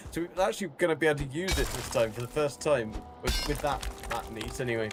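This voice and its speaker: Music plays in the background as a man with a medium pitch speaks at a very fast pace with lively intonation. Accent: strong British. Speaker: game streamer. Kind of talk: casual chat. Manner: hesitant, filler-heavy.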